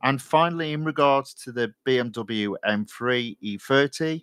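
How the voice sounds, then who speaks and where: In an East Midlands accent, a man of medium pitch talks with lively intonation, the sound dry and close with no echo. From Nottinghamshire, England. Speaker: gaming live streamer. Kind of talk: casual live stream commentary. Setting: live stream.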